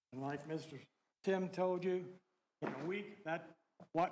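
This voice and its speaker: In a room with audible echo, a man with an American accent speaks at a high pitch and moderate pace, his intonation fairly even. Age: 80s+. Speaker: farmer objecting at public hearing. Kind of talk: public testimony. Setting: county board public hearing. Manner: emotional.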